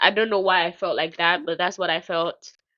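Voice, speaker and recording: A woman's bright, sharp tone against a quiet background. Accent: Nigerian. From Nigeria. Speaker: podcast host. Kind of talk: casual chat.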